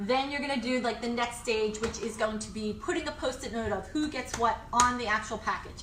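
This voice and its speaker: A woman speaks in a high voice with ordinary pitch variation. The room echoes audibly, and background noise is noticeable. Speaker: lifestyle DIY vlogger. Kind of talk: tutorial. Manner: fast; casual, chatty.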